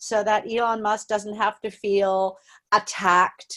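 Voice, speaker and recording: Fairly high in pitch and animated in tone, a woman speaks at a fairly slow pace. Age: 60. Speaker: audience member asking a question. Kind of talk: Q&A comment.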